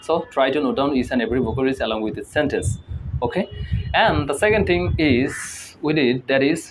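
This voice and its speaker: Against noticeable background noise, a man with a Bengali accent talks at a very fast pace in a fairly high pitch. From Bangladesh. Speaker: English learning youtuber. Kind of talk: tutorial. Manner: halting, with fillers and repetitions.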